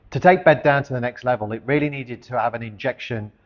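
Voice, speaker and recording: Pitched in the middle range, a man's voice rises and falls in an ordinary way. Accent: English. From central England, Coventry. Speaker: charity founder. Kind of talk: personal testimony and organisation presentation.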